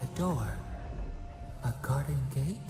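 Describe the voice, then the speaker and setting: Someone performs a put-on character voice in a recording with clear background noise and a clear echo. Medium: game stream. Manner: cryptic, eerie.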